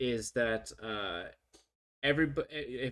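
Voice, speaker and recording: A man in a very clean recording with a silent background. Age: 30s. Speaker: livestreamer and engineer. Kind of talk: casual livestream chat. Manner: halting, many fillers and restarts.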